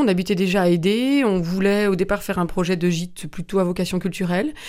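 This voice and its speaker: Fairly quick speech from a woman with a dark, mellow tone, medium pitch and fairly even intonation, on a very clean recording with a silent background. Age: 50s. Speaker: festival co-founder and tourism entrepreneur. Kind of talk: radio interview.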